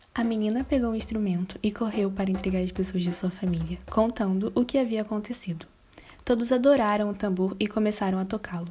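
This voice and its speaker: A woman's somewhat breathy, medium-pitched voice at a fairly quick pace, with fairly even intonation. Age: young. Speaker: pedagogy student. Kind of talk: reading aloud.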